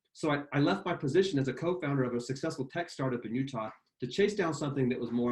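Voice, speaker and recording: A man with a fairly high pitch speaks at a very fast pace, somewhat breathy, with lively intonation. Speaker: sales executive presenting a webinar. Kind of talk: webinar product presentation. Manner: fast when excited.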